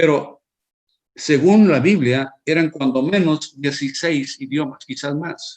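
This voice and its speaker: A fairly high-pitched male voice, very slow in pace, with ordinary pitch variation. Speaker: preacher. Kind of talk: sermon. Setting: online broadcast. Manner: halting, with fillers and restarts.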